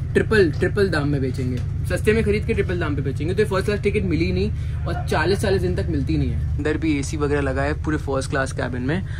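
Music plays in the background as a man talks at a fairly quick pace. His very deep, low voice makes very wide pitch swings. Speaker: travel vlogger. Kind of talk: casual vlog chat. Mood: mildly critical, chatty. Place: train. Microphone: phone near.

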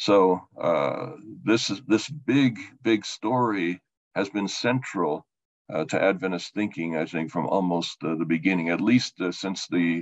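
Against a quiet background, a man with a very deep, low pitch speaks at a fairly slow pace, his pitch swinging very widely. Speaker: theology professor. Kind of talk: lecture. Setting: video call. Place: home room.

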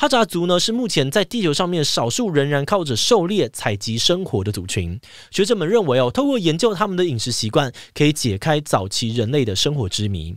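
A man speaking at a fairly quick pace with very wide pitch swings, dry with no echo, over a quiet background. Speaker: podcast host. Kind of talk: explainer podcast talk. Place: studio. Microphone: studio mic.

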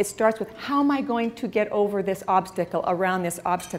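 Lively intonation from a woman, her pace moderate. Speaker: speaker. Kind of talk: motivational talk. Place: hall. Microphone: lapel.

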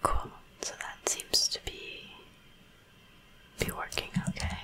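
The speaker whispers, moving at a very slow pace. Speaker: ASMR creator, coding tutor. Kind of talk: ASMR coding tutorial. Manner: whispered. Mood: calm, relaxed.

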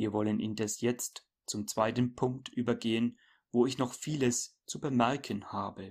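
On a very clean recording with a silent background, a man speaks at a fairly slow pace. His medium-pitched voice is an unremarkable speaking voice with fairly even intonation. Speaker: preacher. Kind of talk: sermon read aloud. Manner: solemn, formal, measured; earnest, admonishing, didactic.

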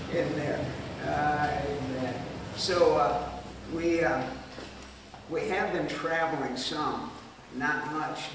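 With audible room echo and noticeable background noise, a man speaks very slowly at a fairly high pitch. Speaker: missionary. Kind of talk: Sunday school Bible teaching. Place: hall. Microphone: camera far.

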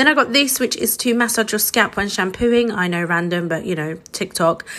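A woman's fairly quick, medium-pitched voice, bright and sharp in tone, with lively intonation. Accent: British. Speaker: social media creator. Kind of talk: product review. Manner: casual, upbeat.

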